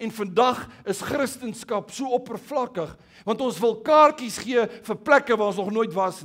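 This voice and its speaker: Against a quiet background, a man talks in a high voice with lively intonation. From South Africa. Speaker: pastor. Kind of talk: sermon. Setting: church. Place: church. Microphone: headset.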